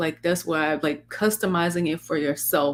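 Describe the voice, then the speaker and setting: Speaking at a fairly slow pace with a Southern US accent, the voice comes through on a very clean recording with a silent background. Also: woman. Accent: Southern US country. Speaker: faith-based life coach and podcast host. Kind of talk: casual podcast conversation. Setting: live-streamed podcast. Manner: stumbles over words.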